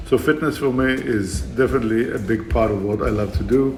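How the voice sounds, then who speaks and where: Amid audible room echo and noticeable background noise, a man talks at a moderate pace and medium pitch with fairly even intonation. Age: 60s. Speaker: fitness trainer. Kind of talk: fitness vlog monologue. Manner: hesitant, many fillers.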